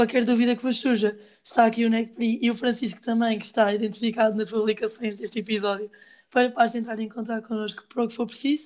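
Monotone, flat intonation at a fairly quick pace. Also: woman. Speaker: student podcast host. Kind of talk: casual interview.

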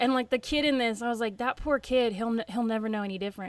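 A woman at a very fast pace, fairly high in pitch, with a slight Southern US accent. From Tennessee, US South. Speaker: comic book podcast host. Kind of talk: casual chat, podcast discussion. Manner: animated, enthusiastic.

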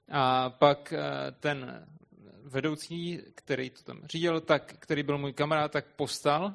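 A man speaks at a very slow pace in a fairly high pitch, his intonation monotone and flat while his loudness swings widely. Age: young. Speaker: interpreter. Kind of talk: consecutive interpreting of a sermon.

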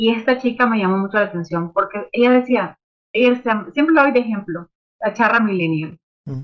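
This woman has an unremarkable speaking voice, pitched fairly high. She keeps a moderate pace with lively intonation. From Nicaragua. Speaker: music publicist and artist manager. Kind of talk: interview. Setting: video call from home.

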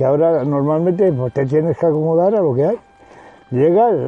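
A man speaks at a fairly quick pace in a fairly high pitch, with ordinary pitch variation. Noticeable background noise runs behind him. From Spain, Salamanca province. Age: 70s. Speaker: rural villager. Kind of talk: oral history interview.

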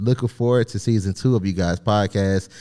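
A man with a Southern US accent, a dark, mellow tone, fairly low pitch, fairly even intonation and a fairly quick pace. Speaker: podcast co-host. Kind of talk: casual banter podcast chat.

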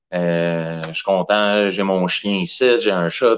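A man talks with a Quebec accent and ordinary pitch variation. The background is quiet. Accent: Québécois French. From Quebec, Saint-Hyacinthe. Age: 30s. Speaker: professional wrestler. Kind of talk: casual chat.

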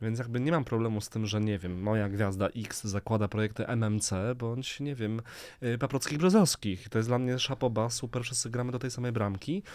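A man talks fairly quickly at a medium pitch in a plain, everyday voice. The recording is very clean, with a silent background. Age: 30s. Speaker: fashion designer. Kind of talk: casual chat.

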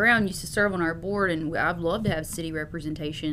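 Speaking very fast at a fairly low pitch, a woman keeps a fairly even intonation amid noticeable background noise and audible room echo. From US South. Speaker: city manager. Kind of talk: interview.

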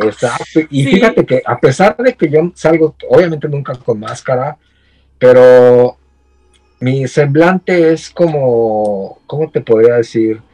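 A man's fairly high voice with lively intonation at a very slow pace, dry and close with no echo, music in the background. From Mexico, State of Mexico (Ecatepec). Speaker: horror collector and content creator. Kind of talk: casual interview chat.

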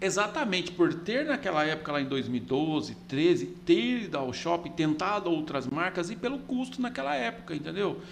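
A man with a high voice uses lively intonation at a moderate pace. Noticeable background noise runs behind him. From Goiás, Brazil (Catalão). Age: 40s. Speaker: business owner, franchisee. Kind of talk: casual interview chat. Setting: studio. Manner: halting, many repetitions.

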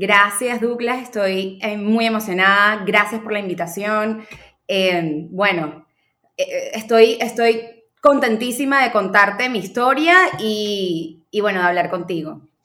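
Speaking at a very slow pace, a woman uses a fairly high pitch and ordinary pitch variation. Audible room echo surrounds her voice. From Venezuela, Caracas. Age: 30s. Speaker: marketing specialist. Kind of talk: interview conversation.

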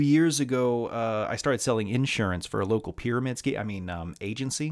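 The recording is very clean, with a silent background. A man with an American accent speaks with hardly any pauses. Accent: slight Southern US, sounds Midwestern. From US South. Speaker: podcast host. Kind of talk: casual monologue, podcast intro with profanity. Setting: solo podcast recording. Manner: rambling, candid, self-deprecating.

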